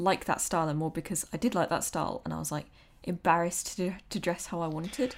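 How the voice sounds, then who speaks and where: A woman talks at a fairly quick pace with vocal fry and a medium pitch. The recording is very clean, with a silent background. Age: 20s. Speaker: podcast host. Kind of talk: casual chat.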